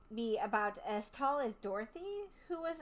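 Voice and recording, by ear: Lively intonation throughout natural-voiced reading aloud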